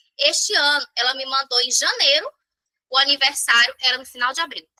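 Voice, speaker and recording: A woman uses a raised, projected voice with a high pitch and a bright, sharp tone. The sound is dry and close, with no echo. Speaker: sales trainer. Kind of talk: online training session. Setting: live stream with chat.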